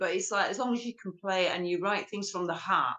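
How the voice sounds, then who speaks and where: A woman with an ordinary speaking voice talks at a fairly quick pace, using ordinary pitch variation. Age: 50s. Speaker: rock guitarist. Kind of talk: interview. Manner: casual.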